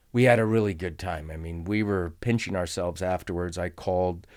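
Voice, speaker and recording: The speaker has an American accent and talks at a moderate pace with ordinary pitch variation, on a very clean recording with a silent background. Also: man. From central California, Fresno County. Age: 60s. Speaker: pastor. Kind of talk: casual chat.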